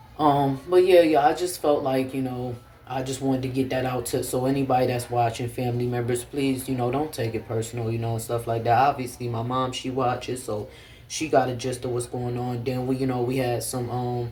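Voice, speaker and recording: A man's flat, monotone voice at a medium pitch and fairly quick pace, with audible room echo. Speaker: vlogger. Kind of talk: casual vlog talk to camera. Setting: at home. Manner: fast.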